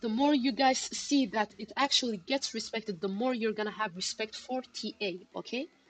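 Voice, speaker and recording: A woman talks at a moderate pace in a normal speaking voice, fairly high in pitch with lively intonation. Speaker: crypto trading livestreamer. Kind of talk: live stream chart analysis and chat. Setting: live stream.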